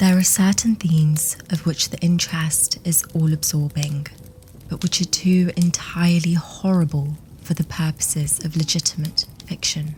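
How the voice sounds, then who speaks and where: Against noticeable background noise, a woman speaks with a fairly low pitch and monotone, flat intonation. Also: moderate pace. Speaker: ASMR horror story narrator. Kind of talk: ASMR horror story reading, sleep-friendly. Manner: whispered, gentle, soothing.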